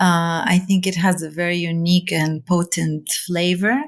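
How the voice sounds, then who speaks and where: Fairly slow speech from a woman, her pitch medium. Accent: Arabic. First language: Arabic. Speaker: seed library founder. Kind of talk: interview conversation. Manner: hesitant, many fillers.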